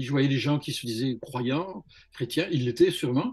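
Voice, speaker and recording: Music in the background behind a man at a fairly high pitch, with ordinary pitch variation. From southern France, Montpellier. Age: 60s. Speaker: religious testimony guest. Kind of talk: testimony. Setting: video call. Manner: halting, many hesitations.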